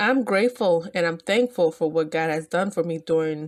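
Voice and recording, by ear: A woman at a fairly low pitch, with a slightly mellow tone and ordinary pitch variation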